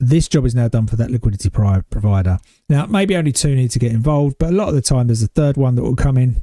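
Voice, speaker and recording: A man with a British accent speaks at a fairly quick pace in a medium pitch, with ordinary pitch variation, a dark, mellow tone, and a dry, close sound with no echo. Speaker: day trader streamer. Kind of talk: live trading commentary. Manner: casual.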